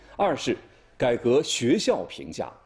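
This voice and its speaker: Speaking at a fairly slow pace, a man is heard. The recording is very clean, its background silent. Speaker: news anchor. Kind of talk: television news broadcast.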